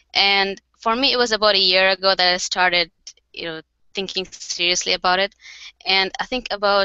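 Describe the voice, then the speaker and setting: This speaker talks with a Bengali accent at a fairly quick pace, in a monotone, flat delivery, with a dry, echo-free sound and a quiet background. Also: woman. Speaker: card maker and craft company co-founder. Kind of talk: casual interview. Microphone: headset.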